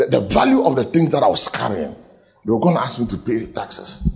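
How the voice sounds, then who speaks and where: This man's tone is animated and his pace fairly quick. Noticeable background noise runs under his speech. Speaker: pastor. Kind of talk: sermon. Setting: church.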